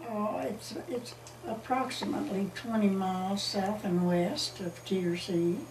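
Over noticeable background noise, a woman of medium pitch talks at a fairly slow pace with lively intonation. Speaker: local resident telling history. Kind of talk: oral history interview answer. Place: home room.

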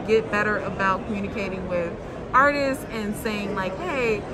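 Crowd noise sits in the background as a woman speaks. Her pace is moderate and her pitch varies in an ordinary way. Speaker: comic book writer at a booth. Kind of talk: interview answer. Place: hall.

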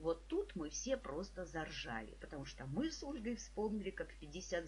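A woman talks at a fairly slow pace. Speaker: psychologist and trainer, video blogger. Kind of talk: personal tribute monologue. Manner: warm, emotional storytelling.

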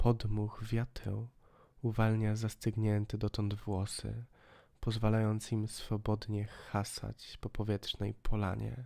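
In a very clean recording with a silent background, a man with a fairly low pitch speaks very slowly in an intense, dramatic tone with monotone, flat intonation. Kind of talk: audiobook reading of a poetic text. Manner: dramatic, hushed, slow narration with lingering pauses; atmospheric, intense, building to a bleak, chilling end.

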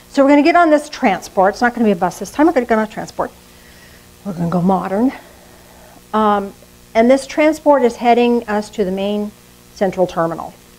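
With music playing in the background, a woman talks at a very fast pace. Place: church.

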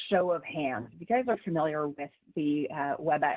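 This is an unremarkable speaking voice. It moves at a moderate pace against a quiet background. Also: woman. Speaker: webinar presenter. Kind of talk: lecture. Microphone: video call.

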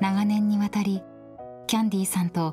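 Speech moves at a moderate pace. Faint music plays in the background. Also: woman. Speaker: TV announcer narrating a documentary. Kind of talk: documentary narration. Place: studio.

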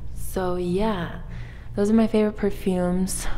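Over light background noise, a woman speaks at a fairly slow pace in a monotone, flat voice. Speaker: vlogger. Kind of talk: casual vlog chat. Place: hall. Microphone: lapel.

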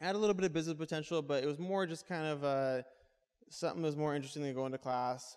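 A man talks in an American accent. The background is quiet. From US West Coast. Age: 20s. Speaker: entrepreneur. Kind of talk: talk to a live audience. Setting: stage with audience. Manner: casual, with filler words. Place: hall. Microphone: handheld.

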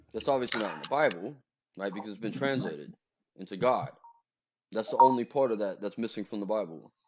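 A man with a fairly low pitch talks at a very fast pace, yet pauses long and often. There is noticeable background noise. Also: ordinary pitch variation. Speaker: livestream host. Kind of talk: debate. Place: home room. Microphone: video call.

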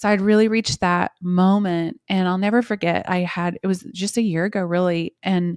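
With an American accent, a woman speaks at a moderate pace and fairly low pitch, intonation fairly even, in a dry sound with no echo and a quiet background. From Oklahoma. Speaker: worship singer-songwriter; guest. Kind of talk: casual interview chat. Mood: warm, reflective, heartfelt. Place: home room. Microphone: studio mic.

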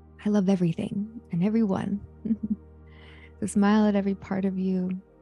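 A woman speaks with monotone, flat intonation. The sound is dry with no echo, and faint music plays in the background. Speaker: meditation guide. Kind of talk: guided meditation. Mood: calm, soothing, warm. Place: home room. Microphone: handheld.

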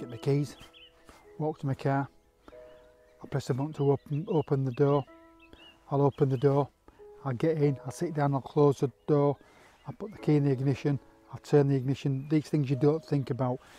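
Speaking at a moderate pace with fairly even intonation, a man leaves long, frequent pauses in a dry sound with no echo, while faint music plays in the background. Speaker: landscape photographer vlogger. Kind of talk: tutorial. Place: open country. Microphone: lapel.

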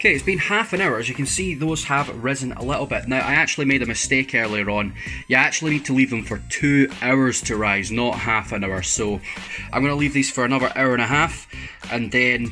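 Clear music plays in the background while a man talks at a fairly quick pace with ordinary pitch variation. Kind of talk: tutorial. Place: kitchen.

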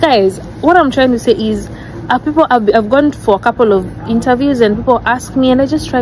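A woman's fairly high, fairly quick voice with ordinary pitch variation, dry with no echo, over noticeable background noise. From Kenya, Nairobi; Kenya. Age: young. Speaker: wife of a YouTuber; vlogger. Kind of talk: personal video addressing rumours. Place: garden.

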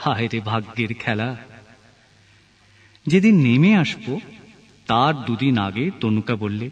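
A man's voice at a medium pitch, a normal speaking voice with ordinary pitch variation. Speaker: poetry reciter. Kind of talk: poetry reading.

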